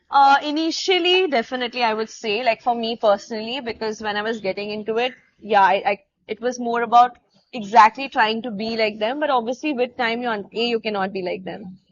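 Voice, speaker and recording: Speaking at a fairly quick pace, a woman has an Indian accent. Her fairly high voice shows ordinary pitch variation. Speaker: dancer. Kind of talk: casual chat.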